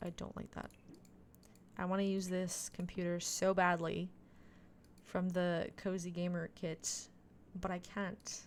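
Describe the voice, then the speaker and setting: Leaving long, frequent pauses, a woman speaks fairly slowly at a fairly low pitch. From Quebec, Canada (Montreal). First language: French. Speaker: video game streamer. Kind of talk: casual live-stream chat.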